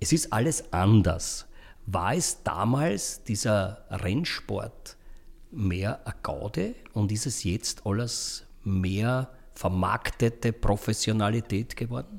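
On a very clean recording with a silent background, a man with an Austrian accent and medium pitch speaks very slowly, somewhat breathy, with ordinary pitch variation. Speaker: podcast host. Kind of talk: casual interview.

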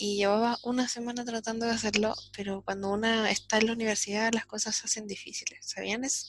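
Her pitch fairly high, a woman talks at a very fast pace in a monotone, flat intonation. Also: hardly any pauses. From Chile, Santiago. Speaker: podcast co-host, university student. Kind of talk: casual chat.

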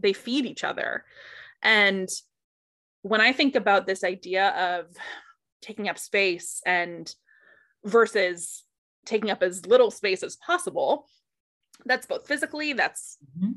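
A woman with an American accent speaks at a fairly slow pace, using a fairly high pitch, lively intonation and a bright, sharp tone, with long, frequent pauses. The recording is very clean, with a silent background. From US Northeast, Boston area. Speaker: body image coach. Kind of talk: casual interview.

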